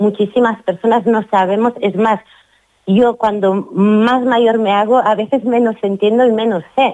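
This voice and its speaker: With an ordinary speaking voice, a woman talks at a moderate pace and a fairly high pitch. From Catalonia, Girona. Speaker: author. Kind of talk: radio interview.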